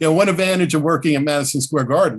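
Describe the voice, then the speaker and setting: The setting around this man is quiet. His pitch rises and falls in an ordinary way. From New Jersey, Jersey Shore. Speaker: interview guest, former team staffer. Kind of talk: casual interview. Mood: reminiscing, warm. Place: home room. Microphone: video call.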